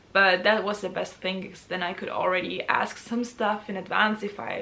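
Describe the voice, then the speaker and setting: Woman at medium pitch with a German accent, over noticeable background noise. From Austria. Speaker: university student. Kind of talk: casual talk to camera.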